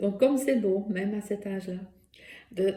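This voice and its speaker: A woman's medium-pitched, somewhat breathy voice, dark and mellow in tone, with a Dutch accent. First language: Dutch (speaking French). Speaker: therapist and workshop instructor. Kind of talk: personal testimony and presentation. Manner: hesitant, many fillers.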